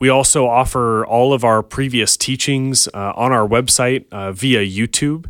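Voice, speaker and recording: An unremarkable speaking voice moves at a fairly slow pace with fairly even intonation and hardly any pauses. The recording is very clean, with a silent background. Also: man, medium pitch for a man. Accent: American. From Montana. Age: 30s. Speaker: ministry staff member. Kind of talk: interview. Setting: studio.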